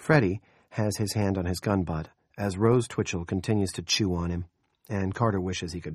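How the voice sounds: Over a quiet background, a natural reading voice carries the clip.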